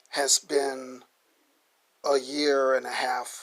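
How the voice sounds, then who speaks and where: A man speaks with an American accent. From US Midwest, Omaha, Nebraska. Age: 60s. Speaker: vlogger. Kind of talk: personal testimony.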